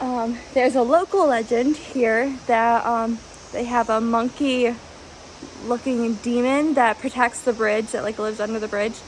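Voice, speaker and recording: With noticeable background noise behind her, a woman speaks at a fairly high pitch with fairly even intonation. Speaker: vlogger. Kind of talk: travel vlog narration. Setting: outdoors. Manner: hesitant, many fillers; loud.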